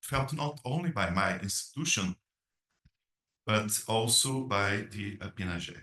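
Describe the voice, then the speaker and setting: The voice has a bright, sharp tone and lively intonation, with a Brazilian Portuguese accent. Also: man. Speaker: academic dean. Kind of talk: conference presentation read aloud. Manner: hesitant, many filler sounds.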